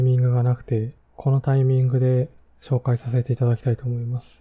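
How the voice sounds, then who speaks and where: The man's voice is somewhat breathy and medium in pitch, moving at a moderate pace. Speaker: podcast host and web/Android engineer. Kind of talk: solo podcast talk reviewing books.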